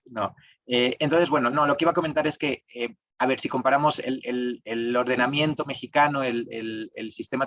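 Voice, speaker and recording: In a dry, close sound with no echo, a man speaks with a Spanish accent. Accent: Spanish (Spain) accent, still kept. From Spain. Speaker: tax lawyer. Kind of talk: webinar talk. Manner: hesitant, many fillers.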